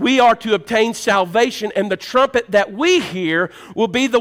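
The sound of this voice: The pitch varies in an ordinary way as someone reads in an unforced reading voice.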